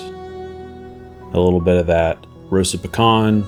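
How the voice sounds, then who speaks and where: A man's very deep, low voice at a very slow pace, with ordinary pitch variation and music in the background. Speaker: miniature painter. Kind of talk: tutorial voice-over narration.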